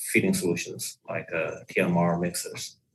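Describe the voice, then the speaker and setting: A man speaks with a Chinese accent. His pace is fairly slow. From China. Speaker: equipment product manager. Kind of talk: podcast interview. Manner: hesitant, many fillers.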